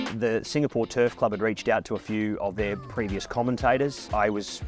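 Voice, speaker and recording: With music in the background, a man speaks at a fairly low pitch and a fairly quick pace in an Australian accent. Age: 20s. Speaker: horse racing commentator. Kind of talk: interview answer.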